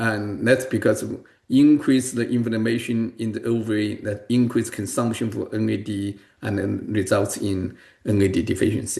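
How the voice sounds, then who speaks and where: A man with a dark, mellow, somewhat breathy voice speaks at a moderate pace with fairly even intonation. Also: medium pitch for a man. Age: 60s. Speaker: medical researcher. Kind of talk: interview. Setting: podcast interview. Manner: halting, many fillers.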